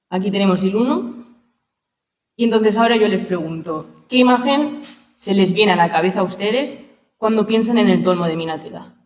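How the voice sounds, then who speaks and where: Audible room echo surrounds a woman with ordinary pitch variation. She takes long, frequent pauses. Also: medium pitch for a woman, fairly quick pace. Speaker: archaeologist. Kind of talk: lecture. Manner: fast.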